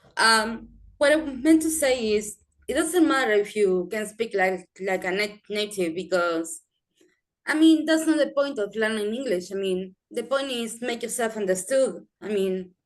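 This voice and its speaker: Fairly slow, lively-toned speech from a woman with a fairly high pitch. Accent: non-native. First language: not English. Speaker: English learner. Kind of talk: group discussion. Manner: halting.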